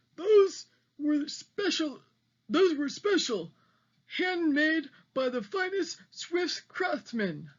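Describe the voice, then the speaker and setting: A put-on character voice delivers the lines in a dramatic tone at a very slow pace. Long pauses come often. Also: woman, high pitch for a woman. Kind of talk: read-aloud voice for children. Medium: read story. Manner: gummy, mumbling toothless speech; dramatic, excitable.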